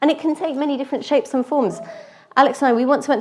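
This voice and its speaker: A woman speaks with an English accent at a high pitch. Her pace is very fast. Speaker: lay preacher. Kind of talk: sermon. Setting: church. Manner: conversational, with fillers.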